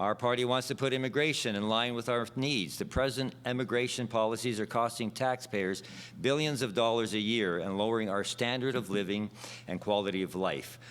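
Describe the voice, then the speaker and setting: A man talks in an ordinary speaking voice at a medium pitch. His pace is fairly quick and his intonation fairly even. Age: 60s. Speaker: election candidate. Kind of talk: prepared debate speech. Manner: formal.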